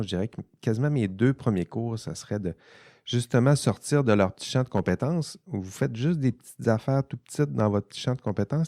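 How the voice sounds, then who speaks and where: In a very clean recording with a silent background, a man's dark, mellow tone comes through dry and close with no echo. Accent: Saguenay–Lac-Saint-Jean. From Quebec, Saguenay-Lac-Saint-Jean. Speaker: podcast host, ethics professor. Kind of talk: casual panel discussion. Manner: hesitant, many repetitions.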